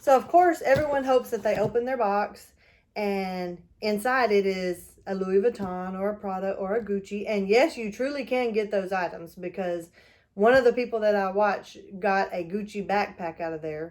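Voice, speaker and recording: Delivered in a Texas accent, the speech has a moderate pace and ordinary pitch variation. Loudness swings widely. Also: woman, medium pitch for a woman. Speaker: YouTuber and reseller. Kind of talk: unboxing video, casual chat. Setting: at her mother's house.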